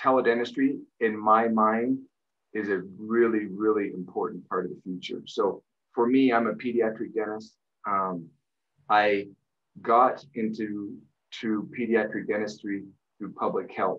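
Pausing long and often, a man speaks at a fairly slow pace with a fairly low pitch and fairly even intonation. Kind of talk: interview answer. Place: home room. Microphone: webcam.

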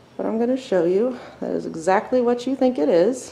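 A woman speaks at a fairly slow pace with music playing in the background. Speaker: tour guide explorer. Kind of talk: casual narrated tour. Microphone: phone near.

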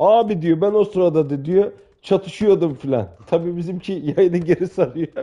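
A high-pitched man with a dark, mellow tone speaks at a moderate pace with ordinary pitch variation. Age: 40s. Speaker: gaming streamer. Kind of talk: casual banter while gaming. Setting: online multiplayer game chat. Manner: animated, joking.

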